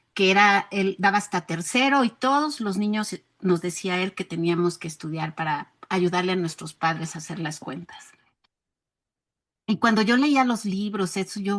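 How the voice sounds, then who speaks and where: In an ordinary speaking voice, a woman talks at a moderate pace with medium pitch and ordinary pitch variation over a quiet background. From rural Mexico. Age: 60s. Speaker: educator. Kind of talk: interview.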